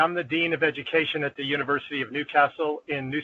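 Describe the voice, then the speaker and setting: In an American accent, a man speaks at a very fast pace with monotone, flat intonation. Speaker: dean of education. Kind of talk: online meeting introduction.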